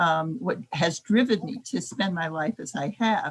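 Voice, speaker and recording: A woman speaks in a fairly low, somewhat breathy voice with a General American accent. Her intonation is lively. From United States (raised from age 2). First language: Japanese. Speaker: nonprofit executive, panelist. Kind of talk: panel discussion. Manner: halting, many fillers.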